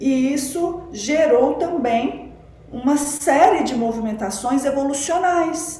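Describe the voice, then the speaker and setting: Amid audible room echo and noticeable background noise, a woman with a high pitch speaks at a very slow pace with very wide pitch swings. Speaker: spiritual teacher and researcher of religion. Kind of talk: podcast interview, explanatory talk. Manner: deliberately slowing down.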